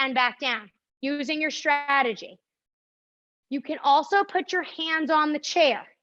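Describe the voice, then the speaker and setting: A woman speaks in an upbeat tone with a New Jersey accent and a high pitch. The background is quiet. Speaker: pilates instructor. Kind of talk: fitness class instruction. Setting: live stream class. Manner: upbeat, encouraging.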